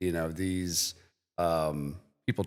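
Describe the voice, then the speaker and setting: Recorded very cleanly with a silent background, a man speaks in an Ohio accent at a fairly slow pace with fairly even intonation. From Medina, Ohio. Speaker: IT company podcast co-host. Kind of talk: podcast conversation.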